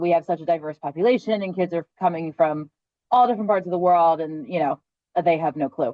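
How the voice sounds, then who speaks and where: A woman with a normal speaking voice and an American accent, fairly low in pitch, with ordinary pitch variation, a fairly quick pace, and a dry, close sound with no echo. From Philadelphia, US. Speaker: classroom teacher. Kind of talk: casual panel discussion.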